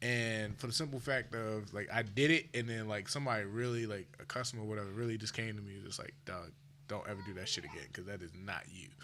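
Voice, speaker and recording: Very fast delivery with hardly any pauses, ordinary pitch variation, big swings in loudness and audible room echo. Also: man, fairly low pitch for a man. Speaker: podcast co-host. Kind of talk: casual chat. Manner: mellow tone.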